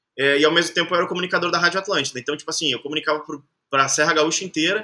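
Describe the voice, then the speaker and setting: A man speaks very fast in a fairly high voice. His intonation stays fairly even. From southern Brazil, Caxias do Sul (Rio Grande do Sul). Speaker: singer and artist manager. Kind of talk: casual interview chat.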